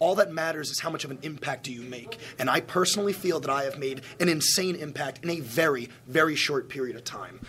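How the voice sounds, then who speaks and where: Against noticeable background noise, a man with a New York accent talks at a very fast pace, his fairly high pitch varying an ordinary amount. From Long Island, New York. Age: 20s. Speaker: professional wrestler. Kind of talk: press scrum. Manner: brash.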